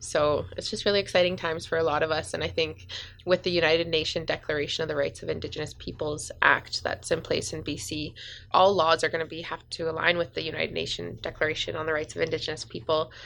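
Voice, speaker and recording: With a Western Canadian accent, a woman talks very fast in a very deep, low pitch, with vocal fry and fairly even intonation. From northern British Columbia, Canada (Smithers). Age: 20s. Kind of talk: casual interview. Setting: community radio studio.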